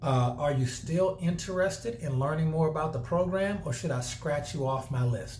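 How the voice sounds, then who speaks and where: A man speaks at a fairly high pitch, somewhat breathy, with audible room echo around him. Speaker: network marketing trainer. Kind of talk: tutorial. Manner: fast.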